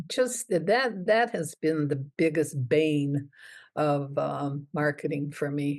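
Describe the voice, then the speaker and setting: The speaker talks at a very slow pace with lively intonation. The background is quiet. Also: woman, very deep, low pitch for a woman. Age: 80s+. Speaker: children's book author. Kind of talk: interview answer.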